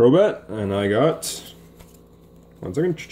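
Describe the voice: A man's voice has a dark, mellow tone and lively intonation.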